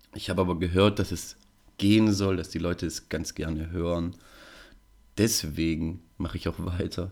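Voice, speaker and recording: Over a very clean, silent background, a man with a very deep, low voice talks in a monotone, flat intonation at a moderate pace, with long, frequent pauses. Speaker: podcast host. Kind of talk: solo podcast monologue.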